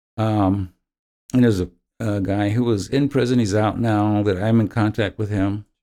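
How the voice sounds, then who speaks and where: With an American accent, a man speaks in a dark, mellow tone at a fairly low pitch, using fairly even intonation at a moderate pace. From US Midwest, Indiana. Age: 70s. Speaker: parishioner and prison ministry volunteer. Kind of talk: interview, personal testimony.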